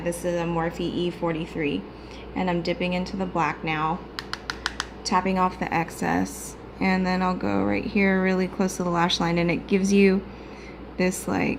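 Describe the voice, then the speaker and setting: A quiet woman speaks at a medium pitch and moderate pace, in a monotone, flat intonation. Noticeable background noise and audible room echo fill the recording. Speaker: beauty vlogger. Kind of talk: tutorial. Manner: casual.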